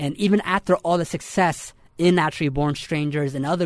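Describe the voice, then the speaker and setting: This man has a plain, everyday voice with a fairly high pitch and ordinary pitch variation. He talks at a moderate pace on a very clean recording with a silent background. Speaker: podcast host. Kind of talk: interview.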